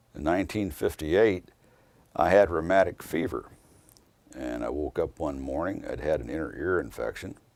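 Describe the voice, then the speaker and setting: Speaking at a moderate pace with an American accent, a man uses a very deep, low pitch with vocal fry, lively intonation, big swings in loudness and long, frequent pauses. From southern Indiana, Jeffersonville. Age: 60s. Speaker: attorney. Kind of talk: interview reminiscence.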